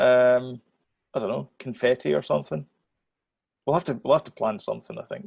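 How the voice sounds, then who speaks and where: With a Scottish accent, a man speaks at a fairly quick pace broken by long, frequent pauses, the sound dry and close with no echo. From Scotland. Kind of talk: casual podcast conversation.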